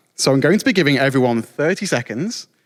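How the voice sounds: Lively intonation carries a man's speech at a moderate pace.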